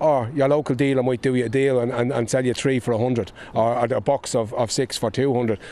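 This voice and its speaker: A man with a Dublin accent at a very fast pace, with hardly any pauses, fairly even intonation, very even loudness and noticeable background noise. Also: medium pitch for a man. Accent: Dublin Irish. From Ireland, Dublin (Clondalkin). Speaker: politician, former addiction counsellor. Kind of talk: on-location interview. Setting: outdoors. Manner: halting, repetitive.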